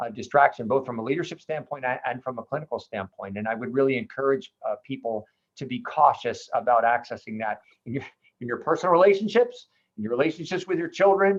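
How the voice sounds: A fast pace from a man of medium pitch, with ordinary pitch variation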